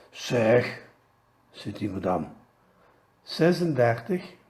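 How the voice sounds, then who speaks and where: A man with a Belgian Limburg accent, vocal fry, very wide pitch swings and a very slow pace. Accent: Pelt dialect, Limburg Flemish. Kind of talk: joke told in dialect.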